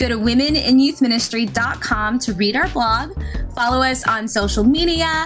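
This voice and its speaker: Against music in the background, a woman speaks at a high pitch and moderate pace with lively intonation. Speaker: podcast host, organization CEO. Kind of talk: podcast intro.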